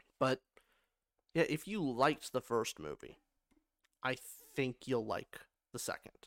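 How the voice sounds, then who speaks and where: A man's medium-pitched voice with vocal fry, lively intonation and a fairly slow pace, broken by long, frequent pauses, in a dry, close sound with no echo. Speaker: podcast co-host and film reviewer. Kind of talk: casual movie review chat.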